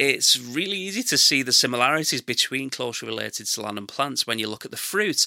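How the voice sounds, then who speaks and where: With an English accent, a man talks very fast at medium pitch, with hardly any pauses and lively intonation. His tone is bright and sharp, and the recording is very clean against a silent background. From England. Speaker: gardening podcast host. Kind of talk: scripted narration.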